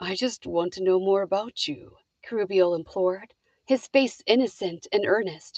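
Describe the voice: Over a quiet background, the text is read aloud plainly, with ordinary pitch variation.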